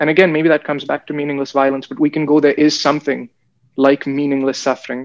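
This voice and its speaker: Speech comes very fast in a flat, monotone line. The sound is dry and close, with no echo. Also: man, fairly high pitch for a man. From India, Bangalore. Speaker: guest in discussion. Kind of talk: casual chat.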